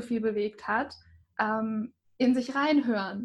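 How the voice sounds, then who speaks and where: A woman talks with fairly even intonation. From small town in Germany. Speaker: podcast host and author. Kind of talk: interview conversation.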